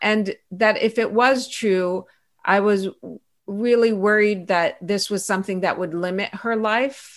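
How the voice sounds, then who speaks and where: A fairly slow, fairly even-toned woman with an Iranian accent at medium pitch. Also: very clean recording, silent background. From Iran and Pittsburgh, US. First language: Farsi. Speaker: author, pediatrician and activist. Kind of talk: interview conversation.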